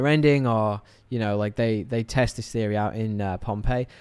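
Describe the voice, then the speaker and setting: Speaking in a British accent at medium pitch with fairly even intonation, a man is heard on a very clean recording with a silent background. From England. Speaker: podcast host. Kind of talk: casual chat.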